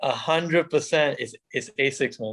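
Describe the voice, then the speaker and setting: Using a plain, everyday voice, a man talks fairly slowly at a fairly high pitch. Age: 30s. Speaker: athlete and teacher. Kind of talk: casual interview.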